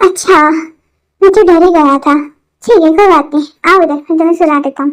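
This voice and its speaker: Using a put-on character voice, a woman speaks at a fairly quick pace with an extremely high pitch. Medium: read story.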